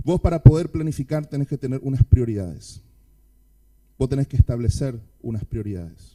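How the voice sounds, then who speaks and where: A man's dark, mellow voice at a fairly quick pace, with lively intonation, big swings in loudness, long and frequent pauses, and a dry, close sound with no echo. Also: medium pitch for a man. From Argentina. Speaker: pastor. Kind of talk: sermon. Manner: fast.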